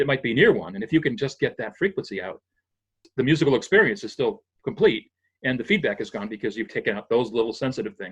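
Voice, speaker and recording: Against a quiet background, a man with an American accent speaks in a somewhat breathy voice. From New England, US (Springfield, Massachusetts). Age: 60s. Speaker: retired sound engineer. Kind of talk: interview, technical explanation. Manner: halting, self-correcting.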